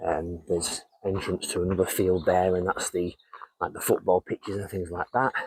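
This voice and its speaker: A man talks at a moderate pace in a very deep, low pitch with monotone, flat intonation. The sound is dry and close with no echo. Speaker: vlogger. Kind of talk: walking tour vlog. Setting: outdoors. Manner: hesitant, filler words; quiet.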